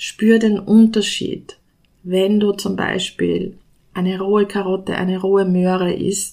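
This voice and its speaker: A woman's dark, mellow voice in an Austrian accent, monotone and flat, at a very slow pace. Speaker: nutrition scientist. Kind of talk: solo podcast talk.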